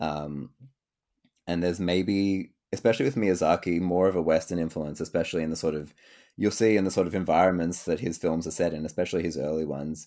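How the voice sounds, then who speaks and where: Very deep and low with a dark, mellow tone, a man's voice moves at a very fast pace with fairly even intonation on a very clean recording with a silent background. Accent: Australian. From Australia. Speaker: podcast host. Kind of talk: casual chat.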